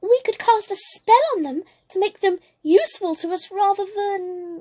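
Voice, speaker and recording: A put-on character voice, squeaky, breathy and extremely high-pitched, talks at a moderate pace in a nervous tone. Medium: read story. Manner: shy, nervous.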